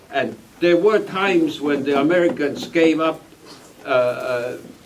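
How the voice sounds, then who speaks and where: A man speaks over noticeable background noise. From Estonia. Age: 80s+. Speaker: refugee and war veteran. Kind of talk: testimony. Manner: halting.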